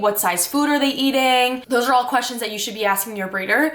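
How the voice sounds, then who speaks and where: A woman talks fairly quickly against noticeable background noise. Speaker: reptile keeper vlogger. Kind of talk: tutorial. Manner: casual, filler-heavy.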